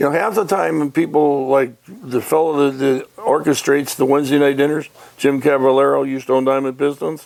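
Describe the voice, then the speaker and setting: Amid noticeable background noise, a man with a Michigan accent talks in an animated tone at a fairly high pitch, with ordinary pitch variation and a moderate pace. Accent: US Midwest (Michigan). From Detroit area, Michigan. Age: 80s+. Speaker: retired racing businessman. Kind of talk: casual interview chat. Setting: radio show interview. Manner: animated storytelling.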